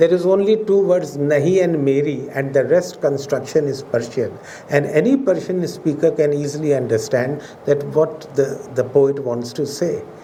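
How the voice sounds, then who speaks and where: With a Pakistani accent, a man speaks at a moderate pace and a fairly high pitch, with noticeable background noise and audible room echo. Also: ordinary pitch variation. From India. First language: Urdu. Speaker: professor. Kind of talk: lecture. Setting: auditorium with audience. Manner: formal.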